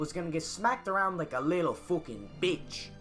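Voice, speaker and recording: Music plays behind a man who speaks fairly quickly in a high pitch with a Newfoundland accent. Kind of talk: comedic history narration. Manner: crude, profane, boisterous.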